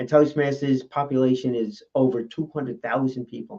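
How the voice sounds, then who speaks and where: At a moderate pace, a man speaks in an ordinary speaking voice at medium pitch. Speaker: public speaker. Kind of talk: casual talk about public speaking.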